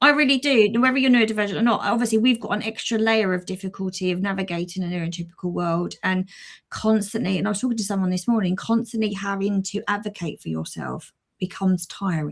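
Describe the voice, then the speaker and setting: A woman talks at a very fast pace in a somewhat breathy voice. The recording is very clean, with a silent background. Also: medium pitch for a woman, ordinary pitch variation. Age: 40s. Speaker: podcast co-host. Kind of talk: casual chat. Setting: live stream.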